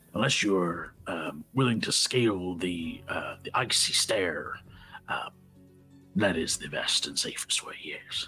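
A man's put-on character voice, raspy and fairly low, at a fairly slow pace with long, frequent pauses over clear music in the background. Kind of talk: pirate-style comic captain voice. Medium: actual play. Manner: hearty, booming, teasingly gruff then warm.

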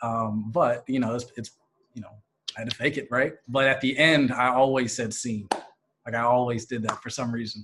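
In an American accent, a man at medium pitch speaks at a fairly quick pace with monotone, flat intonation. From Philadelphia area. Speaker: law student negotiation competitor. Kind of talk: interview.

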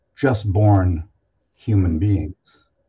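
A man's very deep, low, somewhat breathy voice with a dark, mellow tone and fairly even intonation, over a quiet background. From Toronto, Canada. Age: 70s. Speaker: guest and researcher. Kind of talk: casual interview conversation. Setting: video call.

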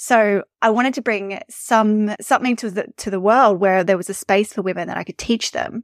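Hardly pausing, a woman with an Australian accent speaks at a fairly high pitch with ordinary pitch variation, the sound dry and close with no echo. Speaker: email marketing and visibility coach. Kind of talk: casual interview chat. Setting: remote call. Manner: fast talker.

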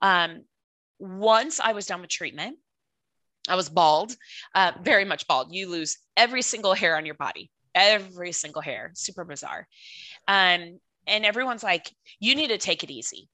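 Against a quiet background, a woman with an American accent speaks at a moderate pace in a bright, sharp tone, with big swings in loudness and long, frequent pauses. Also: medium pitch for a woman. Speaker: cancer survivor and pageant titleholder. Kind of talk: casual interview, sharing personal testimony.

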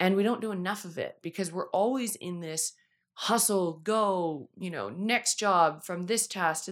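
A woman with a plain, everyday voice speaks at a medium pitch and a moderate pace, with ordinary pitch variation. The recording is very clean, with a silent background. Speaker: podcast host, financial coach. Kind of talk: solo podcast talk. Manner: casual, chatty.

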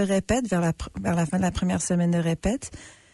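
A woman speaks at a fairly quick pace in a fairly low, somewhat breathy voice with a dark, mellow tone. The sound is dry and close with no echo, over a quiet background. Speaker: actress and artistic associate. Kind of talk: casual interview chat. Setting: radio studio.

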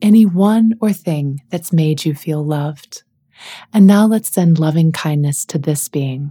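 A woman's very deep, low voice has a dark, mellow, somewhat breathy tone, ordinary pitch variation and a fairly slow pace. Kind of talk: guided meditation. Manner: gentle, soft-spoken.

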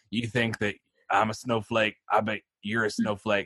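A man puts on a gravelly character voice at medium pitch, its intonation monotone and flat. He keeps a moderate pace, and the sound is dry and close with no echo. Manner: mocking, taunting.

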